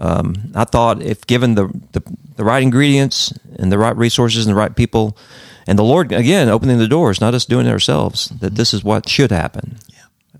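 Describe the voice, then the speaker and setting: A man with an Appalachian accent speaks at a medium pitch and a fairly quick pace, with ordinary pitch variation, big swings in loudness, and a dry, close sound with no echo. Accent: Southern US (Appalachian). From North Carolina mountains, US. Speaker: pastor. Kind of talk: interview.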